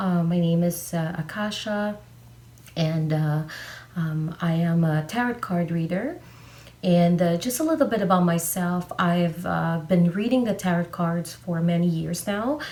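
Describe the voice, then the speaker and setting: A woman's somewhat breathy voice, dark and mellow in tone, fairly low in pitch, with ordinary pitch variation and a fairly slow pace. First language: not English. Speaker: tarot card reader. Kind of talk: tarot reading video monologue. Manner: halting, many fillers.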